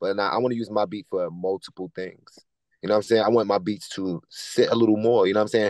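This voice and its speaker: In a New York accent, a man speaks very fast in a fairly low voice. The sound is dry with no echo, and the background is quiet. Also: fairly even intonation. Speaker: choreographer and musician; guest. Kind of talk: casual interview. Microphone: video call.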